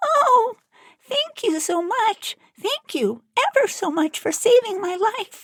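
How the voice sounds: In a put-on character voice, a woman speaks at an extremely high, squeaky pitch. Her pace is fairly slow.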